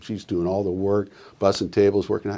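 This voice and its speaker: A man with a Pacific Northwest accent and a fairly low pitch. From Oregon coast (Newport). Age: 60s. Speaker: business leader and youth coach. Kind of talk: podcast interview. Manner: animated.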